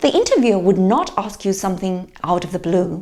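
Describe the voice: A woman talks at a fairly quick pace, her medium pitch carrying big swings and a slightly mellow tone.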